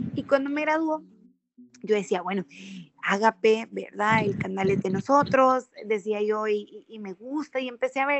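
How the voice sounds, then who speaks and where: A woman with an ordinary speaking voice and fairly high pitch talks at a fairly slow pace, with ordinary pitch variation and big swings in loudness. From El Salvador, Sonsonate. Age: 30s. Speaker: politician, lawyer and former TV presenter. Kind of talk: podcast interview.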